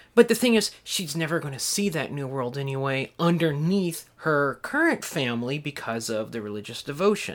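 This is an ordinary speaking voice, a man's, fairly high in pitch and moving at a moderate pace. His intonation is lively, and the recording is very clean with a silent background. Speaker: podcast co-host and pop culture scholar. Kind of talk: casual discussion of a film.

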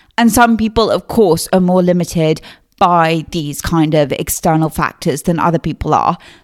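A woman speaks with a southern English accent at a fairly slow pace. Her pitch is medium, with ordinary variation, in a very clean recording with a silent background. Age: 20s. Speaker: podcast host. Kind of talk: solo podcast monologue. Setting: home recording. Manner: casual, chatty.

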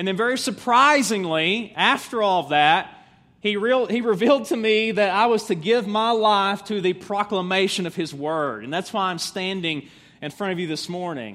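A bright, sharp tone in an Appalachian accent, with ordinary pitch variation. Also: man, high pitch for a man, moderate pace. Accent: Southern US (Appalachian). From US South, East Tennessee mountains. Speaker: pastor. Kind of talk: sermon.

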